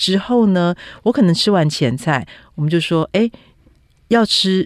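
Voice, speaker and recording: A woman's unremarkable speaking voice, fairly slow, with lively intonation. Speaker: food and travel writer. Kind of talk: interview.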